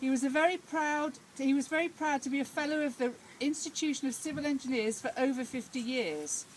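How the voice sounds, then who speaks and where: Loud speech at a moderate pace is heard over noticeable background noise. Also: woman. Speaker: speaker at a village inauguration. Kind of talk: public speech.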